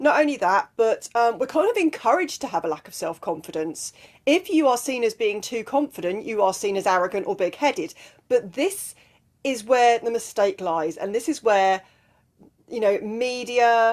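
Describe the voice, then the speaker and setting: Using very wide pitch swings, a woman with an English accent talks at a moderate pace in a fairly high voice. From southwest England. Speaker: life and mindset coach. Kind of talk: motivational talk to camera. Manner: casual, with fillers.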